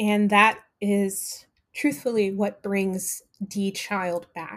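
A woman's voice at medium pitch. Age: 20s. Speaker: dramaturg. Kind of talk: interview. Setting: at home.

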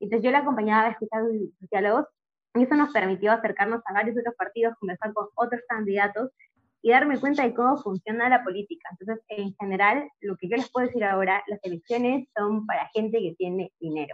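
Using an ordinary speaking voice, a woman with a fairly high pitch talks at a fairly quick pace with ordinary pitch variation. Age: 20s. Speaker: political commentator and social media creator. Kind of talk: podcast interview.

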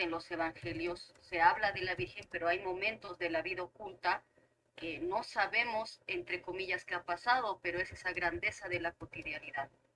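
This woman has an unremarkable speaking voice at medium pitch. She talks at a moderate pace. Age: 30s. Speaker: teacher. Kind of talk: casual chat.

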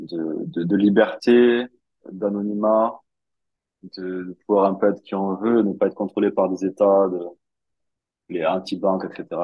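A man talks at a fairly low pitch, keeping his intonation fairly even. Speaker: crypto investor. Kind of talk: interview.

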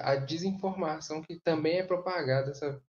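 A man's somewhat breathy voice with a Minas Gerais accent. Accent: Brazilian Portuguese, Minas Gerais (mineiro). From Barão de Cocais, Minas Gerais, Brazil. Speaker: geography student. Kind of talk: casual discussion.

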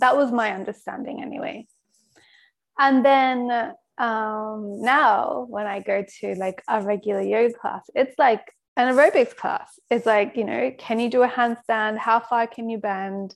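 The pace is fairly slow and the intonation fairly even in this normal speaking voice. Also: woman, fairly high pitch for a woman. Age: 30s. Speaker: podcast host. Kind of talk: casual chat.

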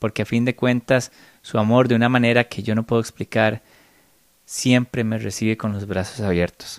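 On a very clean recording with a silent background and a dry, close sound with no echo, a man with a Costa Rican accent speaks at a moderate pace. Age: 30s. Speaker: spiritual podcaster. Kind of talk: solo spiritual reflection monologue.

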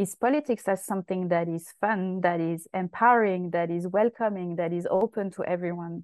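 In a French accent, a woman speaks at a moderate pace with fairly even intonation. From France, Paris southern suburbs (Essonne). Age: 30s. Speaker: activist and campaigner. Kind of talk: interview.

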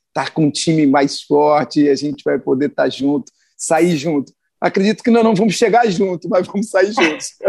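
A man talks at a moderate pace in a fairly high pitch, with lively intonation and an ordinary speaking voice. The sound is dry and close, with no echo. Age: 50s. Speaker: business owner and radio commentator. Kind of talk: radio interview.

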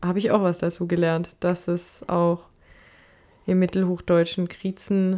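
Over a silent background in a very clean recording, a woman with a fairly low pitch speaks very slowly in a monotone, flat way. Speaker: podcast co-host. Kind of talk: casual chat.

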